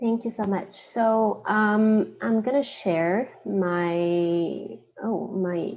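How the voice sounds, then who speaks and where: Very slowly, a woman speaks at medium pitch with lively intonation. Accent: Quebec. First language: French. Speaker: investment analyst. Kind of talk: conference presentation. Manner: hesitant, many fillers.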